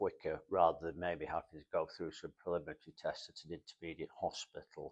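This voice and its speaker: A man talks at a moderate pace with a Manchester accent. The sound is dry and close, with no echo. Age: 70s. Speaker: heart patient, support group volunteer. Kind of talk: interview testimony. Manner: halting, many fillers.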